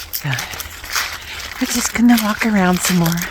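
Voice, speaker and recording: Noticeable background noise sits behind the speaker. She is a woman with ordinary pitch variation. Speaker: vlogger. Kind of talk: casual vlog chat while walking. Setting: outdoors, walking in a field. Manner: slightly slurred articulation.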